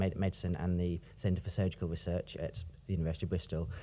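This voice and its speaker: With a British accent, a man speaks in a dark, mellow tone. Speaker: academic ethicist. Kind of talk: conference talk. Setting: stage with audience. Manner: pauses, repeats words.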